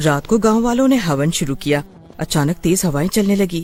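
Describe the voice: Speaking at a moderate pace, a man with a high voice and a slightly mellow tone uses lively intonation.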